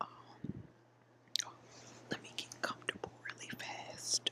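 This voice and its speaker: Whispering very slowly, a woman is heard against noticeable background noise. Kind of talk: casual talk to camera. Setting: indoors, recorded on a laptop under a cover. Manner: soft, conversational, chatty.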